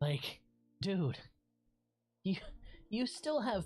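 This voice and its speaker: A man's dark, mellow, somewhat breathy voice at a moderate pace. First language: Spanish. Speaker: video game streamer. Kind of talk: casual livestream gameplay chat.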